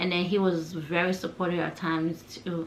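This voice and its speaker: A woman's voice, fairly low in pitch. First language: not English. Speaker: lifestyle vlogger. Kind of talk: personal vlog talk. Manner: casual, conversational.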